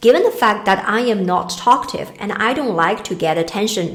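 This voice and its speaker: Speaking with a Chinese accent, a woman uses a medium pitch and lively intonation. She keeps a moderate pace, and the room echo is audible. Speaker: career coach. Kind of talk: talking-head advice video.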